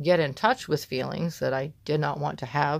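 In a very clean recording against a silent background, a woman talks with fairly level intonation. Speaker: podcast host. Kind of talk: solo personal monologue podcast. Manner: casual, filler-heavy, reflective.

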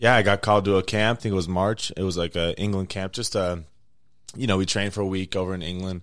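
On a very clean recording with a silent background, a man with a very deep, low pitch and a Western US accent speaks at a very fast pace in a monotone, flat intonation. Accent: American, Western US. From Las Vegas, Nevada. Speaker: soccer goalkeeper. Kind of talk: casual interview. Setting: in person interview at a venue. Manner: relaxed, laughing.

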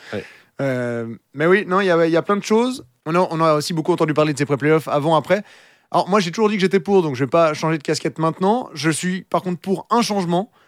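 Pitched high, a man talks at a very fast pace on a very clean recording with a silent background and a dry, close sound with no echo. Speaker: ice hockey podcast host and commentator. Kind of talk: casual chat.

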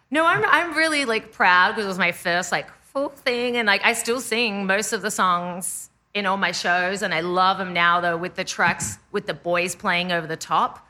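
Bright, sharp tone from a woman with an Australian accent, medium pitch, ordinary pitch variation, hardly any pauses and a quiet background. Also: moderate pace. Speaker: indie pop musician. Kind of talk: casual chat.

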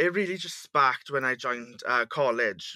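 A man speaks at a moderate pace with ordinary pitch variation. It is an ordinary speaking voice, on a very clean recording with a silent background. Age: 20s. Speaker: insect breeder and business founder. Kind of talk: casual interview.

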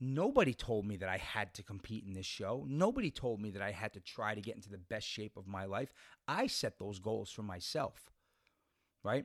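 In a very clean recording with a silent background and a dry, close sound with no echo, a man speaks in a normal speaking voice, fairly low in pitch, at a moderate pace with big swings in loudness. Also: ordinary pitch variation. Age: 40s. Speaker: podcast host and bodybuilder. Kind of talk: motivational monologue. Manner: casual with many fillers.

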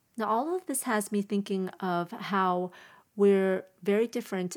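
A woman's medium-pitched, normal speaking voice with fairly even intonation, very clean recording and silent background. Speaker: podcast host. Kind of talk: solo podcast monologue, casual chat. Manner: casual, conversational.

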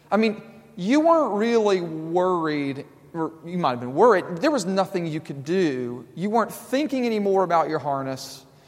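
A man's high-pitched voice at a moderate pace, with very wide pitch swings and audible room echo. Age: 30s. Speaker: pastor. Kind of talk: sermon.

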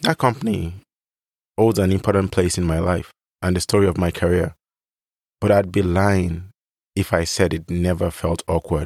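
A man with a very deep, low pitch speaks with long, frequent pauses in a very clean recording against a silent background. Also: fairly even intonation, moderate pace. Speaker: podcast host. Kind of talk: solo monologue.

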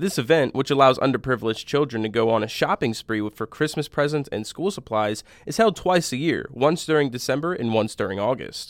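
At a fairly quick pace and with hardly any pauses, a man speaks in a normal speaking voice at a medium pitch. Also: lively intonation. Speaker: news presenter. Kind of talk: formal newsreading of local crime and community stories. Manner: formal; steady, even-paced.

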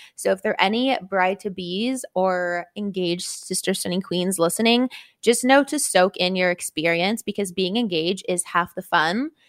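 On a very clean recording with a silent background and a dry, close sound with no echo, a woman with a normal speaking voice talks at medium pitch and a moderate pace. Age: 20s. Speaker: podcast co-host. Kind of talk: casual chat. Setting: studio.

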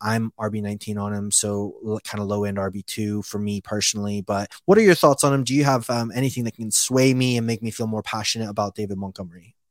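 In a dry, close sound with no echo, a man with a fairly low pitch talks at a fairly quick pace with hardly any pauses. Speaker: podcast host. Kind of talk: casual podcast banter about fantasy football. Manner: animated, joking.

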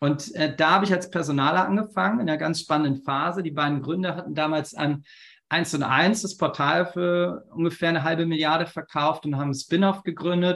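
This man has an ordinary speaking voice, fairly high in pitch, moving at a fairly quick pace with fairly even intonation. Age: 40s. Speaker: company founder and consultant. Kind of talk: interview.

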